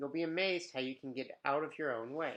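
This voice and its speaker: Here a man talks at a fairly slow pace. His pitch is fairly high, with ordinary pitch variation. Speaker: elementary school teacher. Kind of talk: reading aloud.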